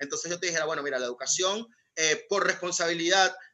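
Very fast speech comes from a man with a high pitch and ordinary pitch variation. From Venezuela. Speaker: guest from Venezuela. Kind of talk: casual panel discussion.

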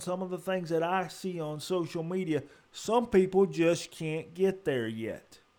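Speaking at a fairly slow pace with hardly any pauses, a man uses a high voice with ordinary pitch variation. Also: very clean recording, silent background. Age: 40s. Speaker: podcast host. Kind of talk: solo monologue. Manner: earnest.

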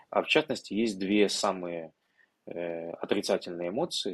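A man talks fairly slowly in an unremarkable speaking voice, with ordinary pitch variation. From Ukraine, Odesa region. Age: 20s. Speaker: tech entrepreneur. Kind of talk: interview conversation.

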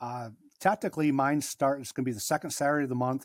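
This man has an ordinary speaking voice with an American accent, a medium pitch and ordinary pitch variation. The recording is very clean with a silent background and a dry, close sound with no echo. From Michigan. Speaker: airgun store owner. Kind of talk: casual chat.

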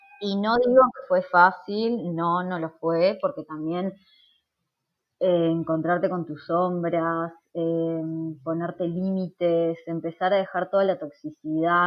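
With a Uruguayan accent, a woman speaks at a very slow pace. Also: big swings in loudness. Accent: Rioplatense Spanish (Uruguayan). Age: 30s. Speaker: nutritionist. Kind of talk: interview.

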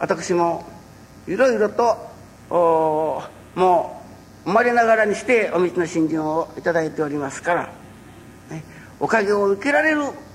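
A man's high voice with lively intonation at a fairly slow pace, with long, frequent pauses and audible room echo. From Japan, Fukuoka (Kurume). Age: 60s. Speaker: religious minister. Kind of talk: public lecture.

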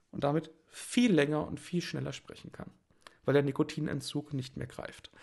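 A man with a fairly high pitch and vocal fry speaks at a moderate pace with ordinary pitch variation. His loudness swings widely. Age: 30s. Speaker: art stream host. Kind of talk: casual livestream talk with screen sharing. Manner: hesitant with many fillers.

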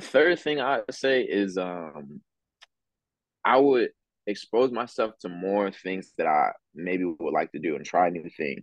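A man with an American accent has a plain, everyday voice, fairly low in pitch, with lively intonation. He speaks at a fairly slow pace in a dry, close sound with no echo. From Philadelphia. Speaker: campus missionary. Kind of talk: casual chat.

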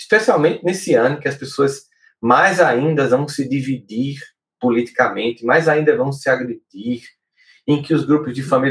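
This man talks at a moderate pace in a medium, somewhat breathy voice with ordinary pitch variation. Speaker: podcast host and psychologist. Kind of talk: solo talk on emotional life. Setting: live stream video podcast.

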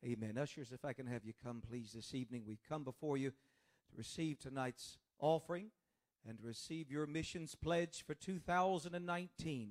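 At a fairly quick pace, a man speaks in a normal speaking voice, fairly high in pitch, with ordinary pitch variation. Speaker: preacher. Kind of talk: sermon. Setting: church.

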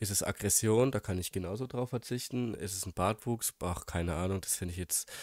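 In a strong German accent, a man with a fairly low pitch speaks with ordinary pitch variation, recorded very cleanly against a silent background in a dry, close sound with no echo. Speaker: podcast co-host. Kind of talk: casual chat. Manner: hesitant, many fillers.

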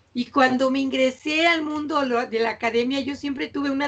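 This woman talks at a moderate pace in a high pitch with fairly even intonation. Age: 60s. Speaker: university professor. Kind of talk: interview.

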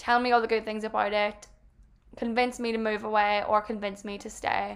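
Speaking with an Irish accent, a woman keeps her intonation fairly even. Her voice is fairly high and her pace fairly quick. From Ireland. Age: 20s. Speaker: podcaster. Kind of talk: solo casual monologue.

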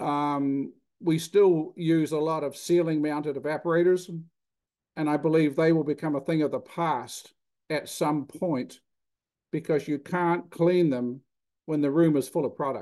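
A man talks fairly slowly at a fairly high pitch, with a dark, mellow tone. His intonation is fairly even, and the background is quiet. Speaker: dairy plant design specialist and cheesemaker. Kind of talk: interview explaining technology.

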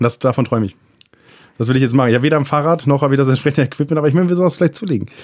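A man's very fast speech at a fairly high pitch, with ordinary pitch variation. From Friesland, northern Germany. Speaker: podcast co-host. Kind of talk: casual chat.

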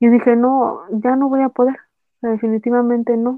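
A woman with a high-pitched voice speaks at a fairly slow pace with fairly even intonation. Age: 20s. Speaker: cancer survivor and influencer. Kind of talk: casual chat. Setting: remote recording.

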